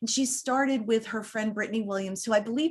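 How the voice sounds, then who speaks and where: A woman is speaking. Her tone is animated. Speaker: roundtable moderator. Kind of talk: online panel discussion.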